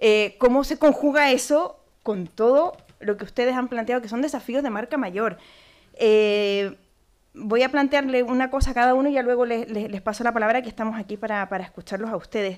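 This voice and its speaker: Speaking with a Chilean accent, a woman has a high pitch. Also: ordinary pitch variation, fairly quick pace, very clean recording, silent background. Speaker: panel moderator, cultural manager. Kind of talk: panel discussion moderation. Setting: conference room with audience. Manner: hesitant, many fillers.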